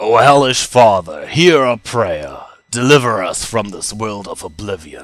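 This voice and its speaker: A man's put-on character voice at a medium pitch and a moderate pace. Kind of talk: reading game dialogue aloud in character.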